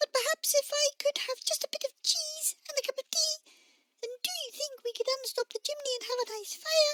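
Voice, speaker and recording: In a put-on character voice, the speaker sounds squeaky and sits at an extremely high pitch. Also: fairly quick pace. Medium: read story. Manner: hesitant, polite, gentle.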